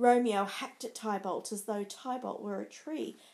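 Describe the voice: Someone reads aloud plainly.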